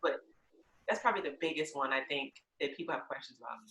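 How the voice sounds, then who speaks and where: A woman speaks with a Lowcountry accent. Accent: US Southern, Lowcountry. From South Carolina Lowcountry. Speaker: podcast host and realtor. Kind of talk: podcast interview. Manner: enthusiastic.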